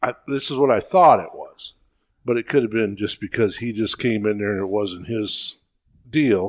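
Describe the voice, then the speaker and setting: A man talks at a moderate pace in an ordinary speaking voice. His pitch is medium, with ordinary variation. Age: 60s. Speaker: veteran deer hunter. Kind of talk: casual chat.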